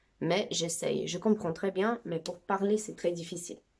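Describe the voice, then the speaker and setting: Her voice sits at a fairly low pitch, and this woman uses ordinary pitch variation. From Brazil. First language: Brazilian Portuguese (speaking French). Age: 20s. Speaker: amateur language teacher. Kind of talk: tutorial. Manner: casual, chatty.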